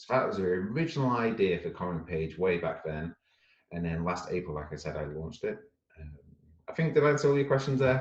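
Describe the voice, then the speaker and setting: Very fast and with very wide pitch swings, a man speaks with a very deep, low pitch in a northern English accent. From northwest England. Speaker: startup founder. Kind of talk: interview.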